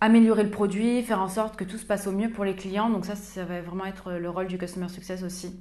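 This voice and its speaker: The speech moves at a moderate pace with monotone, flat intonation. Room echo is audible. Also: woman. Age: 20s. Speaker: customer success manager. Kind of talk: interview.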